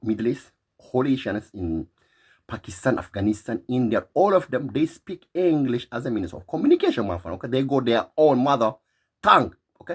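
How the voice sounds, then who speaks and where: With an Eritrean accent, a man speaks at a fairly quick pace in an animated tone, his medium pitch making very wide swings and his loudness swinging widely too. The recording is very clean, with a silent background. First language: Tigrinya. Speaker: vlogger. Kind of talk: opinion monologue.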